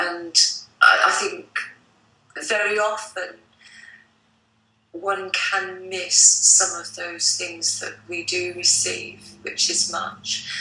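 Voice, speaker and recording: Long, frequent pauses break up a woman's very slow speech. Room echo is audible. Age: 60s. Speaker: psychic artist. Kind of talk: interview.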